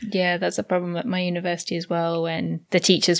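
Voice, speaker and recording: On a very clean recording with a silent background, a woman with an English accent speaks at a fairly low pitch. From England. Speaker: podcast host, Japanese translator. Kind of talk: casual chat.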